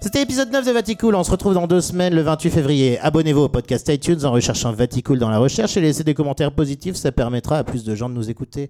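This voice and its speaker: A man's fairly high voice with a dark, mellow tone, very fast, in a dry, close sound with no echo. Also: lively intonation, hardly any pauses. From southwest France (Agen). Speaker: radio host. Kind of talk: casual comedic radio show. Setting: studio.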